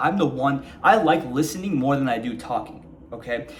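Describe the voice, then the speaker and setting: Amid noticeable background noise, a man with a fairly high pitch and lively intonation speaks at a moderate pace. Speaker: self-help vlogger. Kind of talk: casual monologue to camera. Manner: calm, mellow delivery; casual with filler words.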